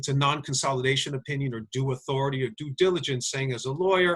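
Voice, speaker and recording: Very fast speech from a man, somewhat breathy, with ordinary pitch variation. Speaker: lawyer. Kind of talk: webinar lecture with Q&A. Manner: halting.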